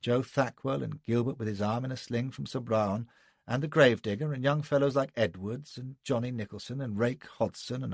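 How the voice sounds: Someone reads in a natural reading voice with ordinary pitch variation.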